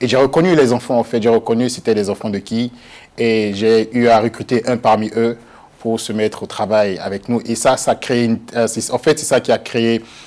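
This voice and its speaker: Fairly even intonation and a moderate pace in a plain, everyday voice. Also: man, medium pitch for a man. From Benin. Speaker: actor. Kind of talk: TV interview. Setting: TV studio.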